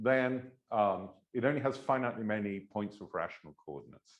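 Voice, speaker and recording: A man with an English accent, lively intonation and vocal fry. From England. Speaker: mathematics professor. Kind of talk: lecture. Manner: hesitant, many filler words.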